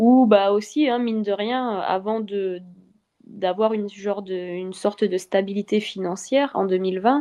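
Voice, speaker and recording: A woman speaks at a fairly slow pace with a dark, mellow tone and ordinary pitch variation. The background is quiet. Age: 20s. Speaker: athlete. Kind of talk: interview. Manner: halting.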